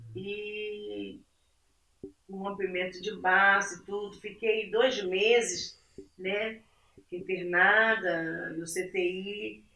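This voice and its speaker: Amid audible room echo, a woman speaks very slowly at medium pitch with a bright, sharp tone, fairly even intonation and long, frequent pauses. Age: 60s. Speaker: churchgoing mother. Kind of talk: casual chat.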